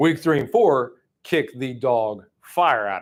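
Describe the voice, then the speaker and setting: Loud and animated, a man with an American accent talks at medium pitch with very wide pitch swings on a very clean recording with a silent background. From Oklahoma. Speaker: sales trainer. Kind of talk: training seminar.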